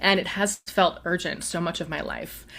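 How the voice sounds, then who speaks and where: A woman with an unremarkable speaking voice, fairly low in pitch, with fairly even intonation at a moderate pace. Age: 40s. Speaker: spiritual practitioner, customer of the host. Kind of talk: casual interview conversation.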